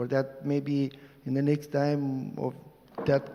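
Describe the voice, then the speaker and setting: Through noticeable background noise, a man speaks very slowly in a fairly high pitch with monotone, flat intonation. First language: Romanian. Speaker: activist lawyer. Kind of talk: panel discussion. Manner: halting.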